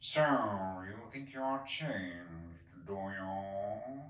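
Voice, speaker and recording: A put-on character voice from a man, fairly low in pitch and very slow, with a slight echo. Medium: read story. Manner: curt, stern.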